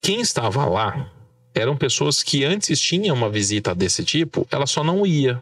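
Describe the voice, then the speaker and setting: Somewhat breathy male speech at a moderate pace, with very wide pitch swings. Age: 30s. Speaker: journalist, political marketing. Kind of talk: casual interview. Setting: studio with camera.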